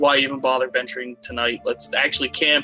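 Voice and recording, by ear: Doing a gruff, put-on character voice, a man speaks at a medium pitch and a fairly quick pace with monotone, flat intonation while clear music plays in the background.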